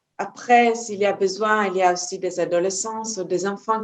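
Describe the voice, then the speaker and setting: At a fairly slow pace, a woman speaks with a Hebrew accent and fairly even intonation. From Israel. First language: Hebrew (speaking French). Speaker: energy healer and trainer. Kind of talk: interview. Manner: halting, many hesitations.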